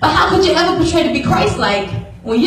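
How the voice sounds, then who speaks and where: Over light background noise, a woman's voice carries audible room echo. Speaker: spoken word performer. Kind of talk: spoken word poetry performance. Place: church. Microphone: pa.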